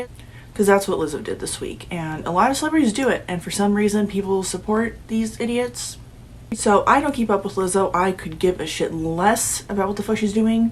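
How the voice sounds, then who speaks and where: A woman's somewhat breathy voice at a medium pitch, with ordinary pitch variation. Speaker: political commentary YouTuber. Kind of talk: casual talk to camera.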